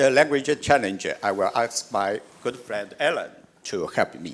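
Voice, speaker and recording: A man speaks with a Chinese accent. His pace is fairly slow and his pitch variation ordinary. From China. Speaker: steel industry association representative, panelist. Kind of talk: panel discussion introduction. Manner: halting, many hesitations.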